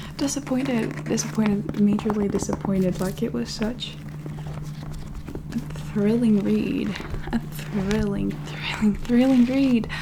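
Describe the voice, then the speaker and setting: Soft-spoken, a woman talks at a fairly slow pace over noticeable background noise. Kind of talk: ASMR book haul ramble to camera. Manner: soft-spoken, rambling.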